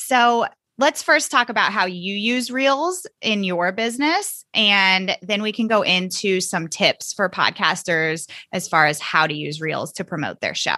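A normal speaking voice from a woman at medium pitch and a fairly slow pace, over a quiet background. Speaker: podcast host. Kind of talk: interview.

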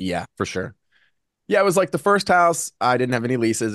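With lively intonation, a man in an American accent talks at a very fast pace. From Virginia, Lynchburg. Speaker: real estate investor. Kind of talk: interview.

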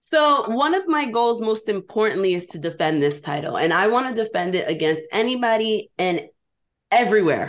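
A woman with a New York accent at a fairly high pitch and a moderate pace, her pitch swinging very widely over a quiet background. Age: 20s. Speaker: pro wrestler. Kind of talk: interview.

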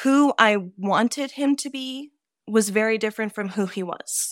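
A woman with a normal speaking voice talks at a moderate pace, fairly high in pitch and with lively intonation. The recording is very clean, with a silent background. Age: 40s. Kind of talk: casual interview chat.

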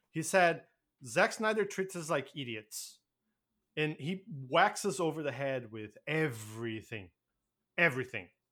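With a bright, sharp tone and fairly high pitch, a man speaks at a fairly slow pace with long, frequent pauses and very wide pitch swings, in a very clean recording with a silent background. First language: not English. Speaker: podcast co-host. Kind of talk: casual chat.

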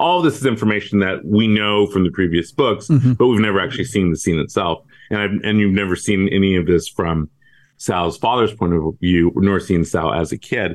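Fairly quick male speech in an American accent, fairly low in pitch with ordinary pitch variation, an unremarkable speaking voice and very even loudness. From US West Coast, San Francisco Bay Area. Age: 50s. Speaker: crime novelist. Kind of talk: interview about his book.

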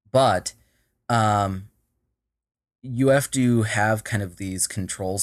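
In a Minnesotan accent, the speaker keeps a fairly even intonation on a very clean recording with a silent background. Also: man. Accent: Minnesota. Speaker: tech startup co-founder and CTO. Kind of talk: casual interview.

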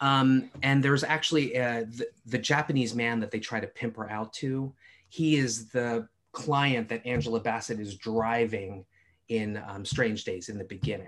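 A man talks at a moderate pace with an American accent. His is an unremarkable speaking voice at a medium pitch. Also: ordinary pitch variation. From US East Coast. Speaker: film expert. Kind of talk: casual chat.

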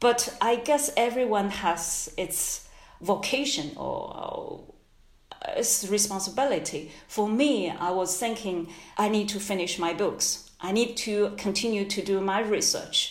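Speech in a Chinese accent moves at a fairly slow pace with ordinary pitch variation, heard with audible room echo and noticeable background noise. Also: woman, medium pitch for a woman. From China. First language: Mandarin Chinese. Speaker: history professor. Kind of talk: interview. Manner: halting.

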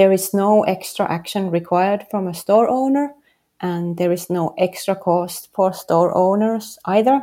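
A woman speaks in a Finnish accent at a fairly slow pace. Her voice is medium in pitch with ordinary pitch variation and a dark, mellow tone. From Finland, Helsinki. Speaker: street style photographer and app founder. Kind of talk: interview.

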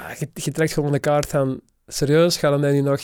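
Dark and mellow in tone, a man's fairly high-pitched voice runs in a monotone, flat intonation. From Belgium, Kempen (Dessel). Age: 30s. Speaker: cancer survivor and YouTuber. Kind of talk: interview. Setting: studio.

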